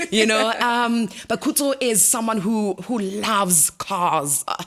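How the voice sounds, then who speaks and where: With noticeable background noise behind it, the voice moves at a very slow pace with lively intonation. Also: woman. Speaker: radio host. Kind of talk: interview.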